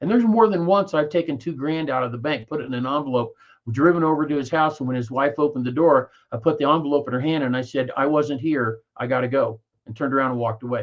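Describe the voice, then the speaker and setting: Very fast speech from a man with a Midwestern American accent, fairly high in pitch, with ordinary pitch variation. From Kansas. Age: 60s. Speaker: network marketer. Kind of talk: interview. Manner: halting.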